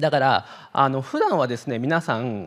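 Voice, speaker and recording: The surroundings are quiet. A man does the talking. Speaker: psychiatrist; presenter. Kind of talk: lecture. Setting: online event talk. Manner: many filler words; fast. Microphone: handheld.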